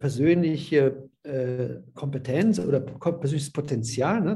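Somewhat breathy and dark, mellow in tone, a man's fairly high voice moves at a fairly slow pace. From Silesia (ethnic German family), moved to Rhineland Germany as a child. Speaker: social pedagogue. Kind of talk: interview. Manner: halting.

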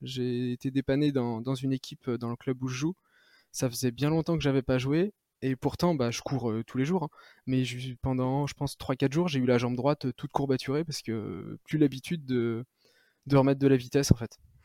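A man with an unremarkable speaking voice talks at a medium pitch and moderate pace with fairly even intonation. The recording is very clean with a silent background and a dry, close sound with no echo. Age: 30s. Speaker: ultra-trail runner. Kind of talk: interview.

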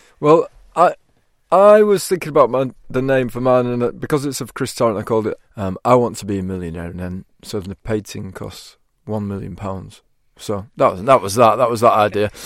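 A man speaks in a medium-pitched, unremarkable speaking voice. His intonation is lively and his pace fairly quick. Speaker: comedian. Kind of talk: casual chat. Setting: studio.

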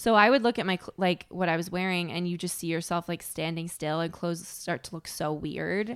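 A woman with a plain, everyday voice talks at a fairly quick pace and fairly low pitch, with ordinary pitch variation and hardly any pauses. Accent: American. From Connecticut. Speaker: stand-up comedian. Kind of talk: casual chat.

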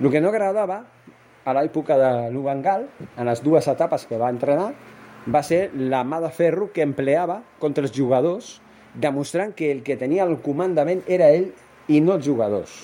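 A man's fairly high voice moves with lively intonation as he talks at a moderate pace. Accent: Spanish. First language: Spanish (speaking Catalan). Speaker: football podcaster. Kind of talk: solo football commentary podcast. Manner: hesitant, many fillers.

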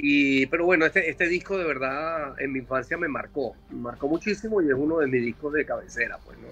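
With music in the background, a man in a Caracas accent talks at a fairly quick pace with hardly any pauses, his fairly high pitch showing ordinary variation and his loudness swinging widely. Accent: Venezuelan Spanish (Caracas). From Venezuela, Caracas. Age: 50s. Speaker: rock singer. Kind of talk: casual interview. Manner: halting, many repetitions.

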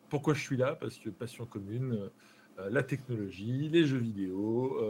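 At a very slow pace, a man speaks in a somewhat breathy voice with a dark, mellow tone. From France, Charente-Maritime. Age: 30s. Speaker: streamer. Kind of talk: casual chat. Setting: live stream.

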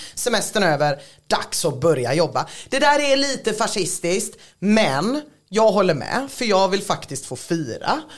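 A woman's medium-pitched voice with very wide pitch swings at a fairly slow pace. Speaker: podcast host. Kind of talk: casual chat.

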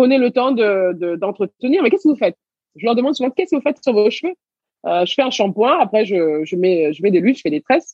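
Very fast and fairly high-pitched, a woman's voice swings very widely in pitch. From Senegal, raised in Paris region from age 6. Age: 30s. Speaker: entrepreneur. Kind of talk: interview.

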